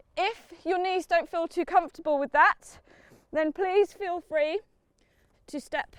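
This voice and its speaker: At a moderate pace, a woman is speaking. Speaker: parkour coach. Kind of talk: instruction. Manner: loud; encouraging.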